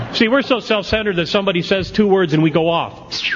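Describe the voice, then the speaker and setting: Over noticeable background noise, a man talks at a moderate pace in an animated tone with ordinary pitch variation. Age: 60s. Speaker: AA speaker. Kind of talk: recovery talk to a convention audience. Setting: stage with audience.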